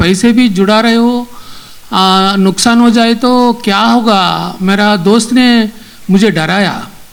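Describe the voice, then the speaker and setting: An extremely high-pitched male voice with fairly even intonation, over noticeable background noise. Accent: non-native. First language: not Hindi (speaking Hindi). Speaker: film director. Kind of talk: acceptance speech. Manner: halting.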